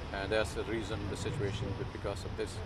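A man talks over loud background noise, and the sound is dry with no echo. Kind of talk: interview answer. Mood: earnest, concerned. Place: street. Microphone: lapel.

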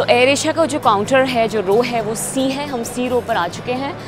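Clear music plays behind a woman's voice. Her pitch variation is ordinary, and the sound is dry with no echo. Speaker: travel vlogger. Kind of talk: tutorial. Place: station. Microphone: phone near.

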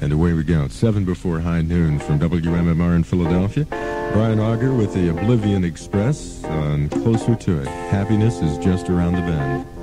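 The pace of speaking is moderate. Behind it, loud music plays. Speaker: radio DJ. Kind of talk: rock radio DJ patter. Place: studio. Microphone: old recording.

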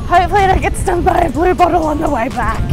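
A woman speaks with a dry sound that has no echo. Clear music plays in the background. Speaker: vlogger. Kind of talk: casual vlog chat. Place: beach. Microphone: phone near.

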